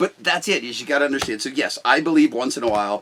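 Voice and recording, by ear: Loud and fast, a man speaks with a fairly bright tone and lively intonation. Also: medium pitch for a man.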